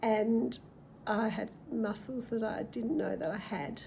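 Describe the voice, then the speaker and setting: A woman's fairly high voice with vocal fry, at a fairly slow pace. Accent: Australian. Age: 60s. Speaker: retiree and lifestyle vlogger. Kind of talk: casual talk to camera.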